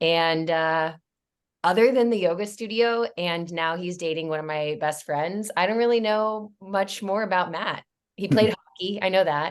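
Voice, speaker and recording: A woman speaks at a moderate pace in an unremarkable speaking voice, her pitch medium and its variation ordinary, against a quiet background. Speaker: podcast host. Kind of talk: casual podcast talk.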